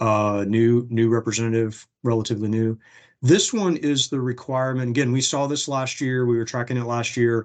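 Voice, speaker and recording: Against a quiet background, a man with a normal speaking voice talks at a fairly quick pace, medium in pitch with fairly even intonation. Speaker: legislative policy presenter. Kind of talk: webinar presentation.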